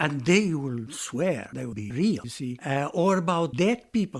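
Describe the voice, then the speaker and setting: This man speaks with a Romanian accent. His intonation is lively. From Romania, Transylvania. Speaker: retired lecturer in Italian. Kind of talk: interview answer.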